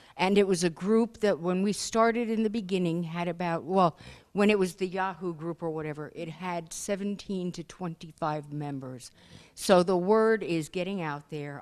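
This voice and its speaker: A woman with a normal speaking voice at a fairly low pitch, with moderate pace and ordinary pitch variation, in a very clean recording with a silent background. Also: big swings in loudness. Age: 60s. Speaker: encephalitis survivor, support group board member. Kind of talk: self-introduction at a conference. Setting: conference room with group.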